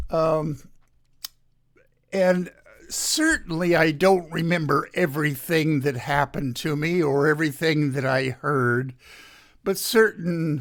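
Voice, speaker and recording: Speaking at a very slow pace, a man with fairly high pitch keeps his intonation fairly even. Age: 70s. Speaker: radio host. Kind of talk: radio monologue. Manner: casual, halting with fillers.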